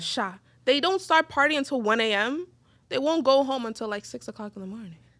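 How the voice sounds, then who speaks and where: On a very clean recording with a silent background, a woman with an American accent talks at a fairly quick pace, her high-pitched voice showing lively intonation and big swings in loudness. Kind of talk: casual podcast conversation.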